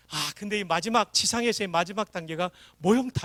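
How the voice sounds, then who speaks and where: High-pitched man at a fairly quick pace with ordinary pitch variation, dry and close with no echo, on a very clean recording with a silent background. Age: 60s. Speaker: revival preacher, former army chaplain. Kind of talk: sermon. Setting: church. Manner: animated.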